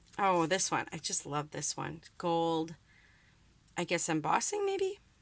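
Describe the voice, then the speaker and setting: Speaking with a Wisconsin accent, a woman has a bright, sharp tone. She goes at a fairly slow pace in a very clean recording with a silent background. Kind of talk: casual crafting talk to camera. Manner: chatty, upbeat.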